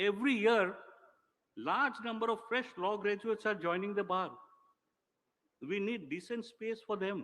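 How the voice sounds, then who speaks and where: A man speaks at a moderate pace in a high, bright and sharp voice. His pitch varies in an ordinary way, with long, frequent pauses. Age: 60s. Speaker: senior official, former lawyer. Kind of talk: ceremonial speech. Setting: public ceremony. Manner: formal.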